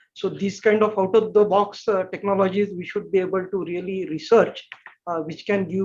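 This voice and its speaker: A man with a high-pitched voice talks at a moderate pace. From India. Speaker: energy sector expert. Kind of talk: webinar panel discussion.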